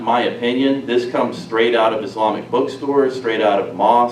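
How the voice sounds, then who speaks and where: Over noticeable background noise and audible room echo, a man talks at a fairly low pitch. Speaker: national security consultant, speaker. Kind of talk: public presentation. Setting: live audience in a hall. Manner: soft-spoken.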